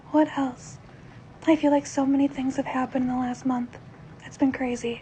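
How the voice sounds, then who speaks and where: Delivered at a moderate pace over noticeable background noise, the monotone, flat speech has big swings in loudness. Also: woman, high pitch for a woman. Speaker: vlogger sharing health updates. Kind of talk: casual video update. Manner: informal with many fillers.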